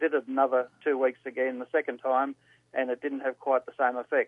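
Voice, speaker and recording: The speaker is a man. He has an Australian accent. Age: 70s. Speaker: caller. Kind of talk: casual phone call. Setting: phone call.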